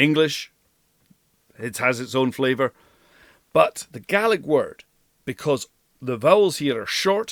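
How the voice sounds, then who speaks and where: A man with a Scottish Highlands accent swings very widely in pitch and leaves long, frequent pauses. The sound is dry and close, with no echo. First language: Scottish Gaelic. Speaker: language coach. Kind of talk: language lesson to camera. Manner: enthusiastic.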